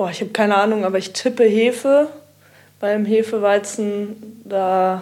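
This woman has a dark, mellow tone at a medium pitch. She talks at a moderate pace. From Kiel. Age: 20s. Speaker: techno DJ and student. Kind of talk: casual chat.

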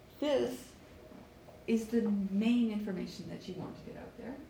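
Over noticeable background noise and audible room echo, a woman speaks at a moderate pace in a fairly high pitch with an animated tone. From Canada, Vancouver. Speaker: networking workshop presenter. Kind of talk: workshop lecture. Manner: animated, frequent laughter.

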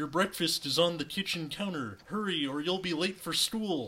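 A man's put-on character voice, high, nasal and croaky, at a moderate pace with ordinary pitch variation. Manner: warm, instructing.

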